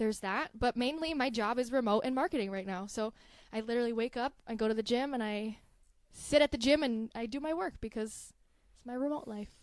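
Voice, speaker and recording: Fast-ish and high, a woman with a Southern California accent talks at a fairly quick pace with ordinary pitch variation and big swings in loudness, on a very clean recording with a silent background. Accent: Valley girl. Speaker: marketing manager. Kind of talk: casual chat.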